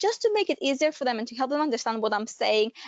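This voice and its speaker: A woman speaks at a high pitch with a non-native accent. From Greece. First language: Greek. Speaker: careers adviser. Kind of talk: webinar presentation. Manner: hesitant, many fillers.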